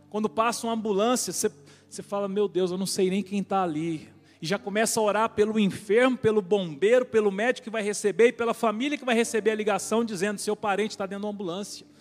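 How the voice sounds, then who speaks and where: This man speaks very fast in a high voice, his intonation staying fairly even. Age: 40s. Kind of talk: sermon.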